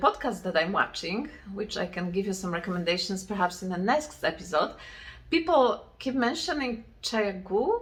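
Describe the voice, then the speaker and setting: A woman with a medium pitch speaks with lively intonation. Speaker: knitting podcaster. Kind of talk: casual chat. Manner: halting.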